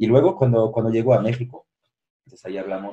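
A man's somewhat breathy voice of medium pitch, dark and mellow in tone. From France. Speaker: social entrepreneurship director. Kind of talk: interview.

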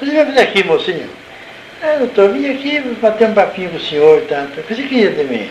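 A man's voice makes very wide pitch swings. Noticeable background noise and audible room echo fill the recording. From Brazil, Salto (São Paulo state). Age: 70s. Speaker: retired nurse and former local councillor. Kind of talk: oral history interview.

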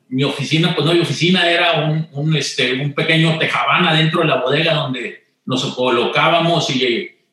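A man speaks with a Monterrey accent. His pace is moderate. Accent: Monterrey (norteño) accent, still noticeable. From Mexico, Monterrey. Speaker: retired corporate executive. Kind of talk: interview conversation.

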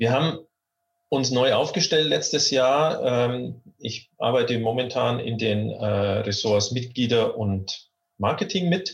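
A man's somewhat breathy voice. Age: 50s. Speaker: coach and coaching association board member. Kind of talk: interview conversation. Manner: hesitant, many fillers and repetitions.

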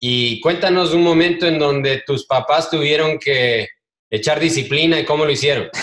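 A man with a plain, everyday voice speaks at a moderate pace, fairly high in pitch, with fairly even intonation and very even loudness. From Ecuador. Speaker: podcast host. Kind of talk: interview.

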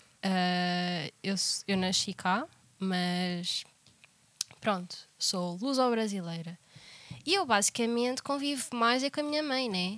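With long, frequent pauses and lively intonation, a woman speaks very slowly at a medium pitch. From Portugal. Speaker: podcast co-host. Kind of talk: casual chat.

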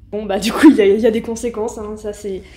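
A woman speaks at a fairly high pitch with fairly even intonation. It is an ordinary speaking voice. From Paris suburbs, Seine-Saint-Denis (Aulnay-sous-Bois). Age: 20s. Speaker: journalist. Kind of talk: interview.

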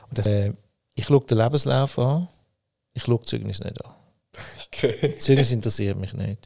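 On a very clean recording with a silent background, a man speaks at a moderate pace in a medium pitch, somewhat breathy, with ordinary pitch variation and long, frequent pauses. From Switzerland, Winterthur. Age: 60s. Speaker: company founder. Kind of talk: interview. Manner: halting, many fillers.

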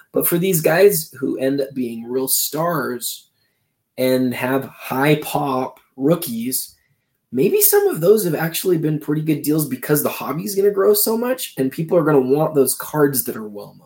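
A plain, everyday voice belongs to this man, fairly high in pitch. He goes at a fairly slow pace with lively intonation and big swings in loudness. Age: 30s. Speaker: sports card magazine publisher and podcaster. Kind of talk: casual chat.

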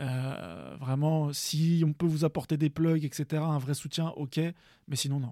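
On a very clean recording with a silent background and a dry, close sound with no echo, a man talks at a very slow pace in a fairly high pitch with a dark, mellow tone and fairly even intonation. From Paris region, Seine-Saint-Denis. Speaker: beatmaker, music producer. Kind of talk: casual interview chat.

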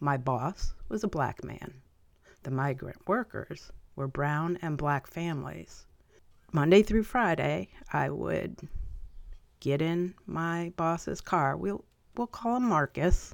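On a very clean recording with a silent background, a woman with a very deep, low pitch and vocal fry talks at a very slow pace, with very wide pitch swings and long, frequent pauses. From upstate New York (Albany, Columbia County). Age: 50s. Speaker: podcast host. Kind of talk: personal monologue.

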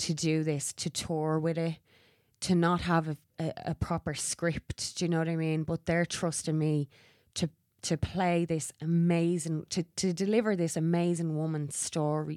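A woman talks at a fairly slow pace in a fairly low, flat monotone, the sound dry and close with no echo. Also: very clean recording, silent background. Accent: Irish. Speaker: actor. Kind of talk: casual chat. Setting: studio.

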